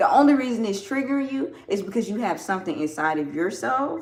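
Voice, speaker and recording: Her pitch swings very widely as a woman speaks with a Southern US accent. Audible room echo surrounds the voice. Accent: Southern US (Georgia). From US South, Georgia. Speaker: farmer and soap maker livestreaming. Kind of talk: casual livestream chat with viewers. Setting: home livestream while washing carrots. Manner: casual, with hesitations and repetitions.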